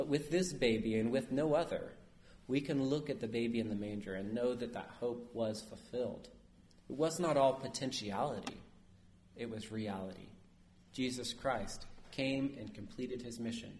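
Audible room echo surrounds a man who speaks at a moderate pace, with a medium pitch, ordinary pitch variation and a somewhat breathy voice. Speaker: priest. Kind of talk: sermon. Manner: conversational, asks audience questions.

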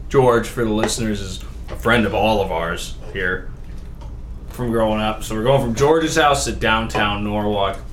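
Over noticeable background noise and audible room echo, a man with an American accent talks at a moderate pace, his fairly low pitch showing ordinary variation. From Connecticut, Waterford. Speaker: podcast guest. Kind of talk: casual chat.

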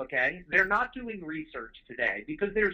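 A man talks in a high pitch. His pitch swings very widely. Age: 40s. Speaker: home service business owner. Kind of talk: interview.

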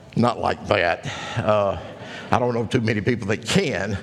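Over noticeable background noise, the speech moves at a fairly quick pace with fairly even intonation. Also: man. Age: 60s. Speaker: pastor. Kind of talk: sermon. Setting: church.

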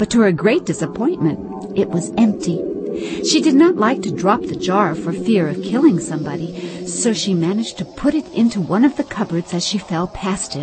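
A woman with an animated tone and very wide pitch swings, at a moderate pace with hardly any pauses, over music in the background. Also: medium pitch for a woman. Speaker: audiobook narrator. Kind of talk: dramatic audiobook narration, storybook reading. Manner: expressive, storytelling pace, animated.

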